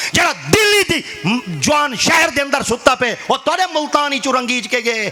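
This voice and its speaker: A man talks in a raised, projected voice with very wide pitch swings. Noticeable background noise fills the recording. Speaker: Islamic preacher. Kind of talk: religious sermon (bayan) in Urdu.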